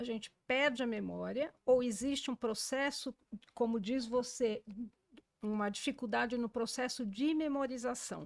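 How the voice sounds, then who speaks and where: A woman talks at a fairly slow pace in a high voice, her intonation fairly even. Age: 60s. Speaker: journalist and podcast host. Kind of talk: podcast interview.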